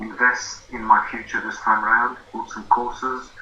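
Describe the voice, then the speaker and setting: A man speaks at a fairly slow pace. Noticeable background noise and audible room echo fill the recording. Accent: South African. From South Africa. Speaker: former engineer, affiliate marketing student. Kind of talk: interview.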